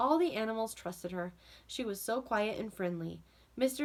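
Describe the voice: Reading aloud, plain and simple.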